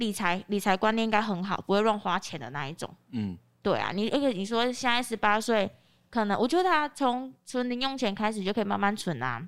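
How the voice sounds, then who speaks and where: Recorded very cleanly with a silent background, a woman with a plain, everyday voice talks at a fairly quick pace, her pitch fairly high and her intonation lively. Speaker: real estate agent. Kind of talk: casual chat.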